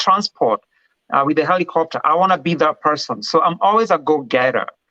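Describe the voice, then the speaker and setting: Speaking at a very fast pace, a man with a Kenyan accent has a fairly high pitch and a bright, sharp tone. His pitch variation is ordinary, and the sound is dry and close with no echo. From Kenya, Kiambu County. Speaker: respiratory therapy director. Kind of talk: interview. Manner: confident.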